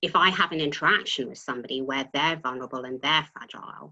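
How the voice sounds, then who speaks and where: A woman with a bright, sharp tone and a very deep, low pitch speaks at a very fast pace. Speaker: tax partner at a professional services firm. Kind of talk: panel webinar talk. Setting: video call. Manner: occasionally trips over words.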